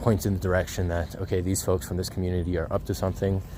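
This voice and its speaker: A man's voice sits at a very deep, low pitch with a dark, mellow tone. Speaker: vlogger. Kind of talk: personal video update. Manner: stuttering; halting, many fillers.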